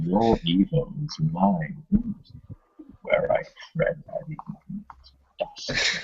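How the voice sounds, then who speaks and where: A man speaks in a put-on character voice at a very slow pace, with long, frequent pauses. His loudness swings widely. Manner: menacing, theatrical.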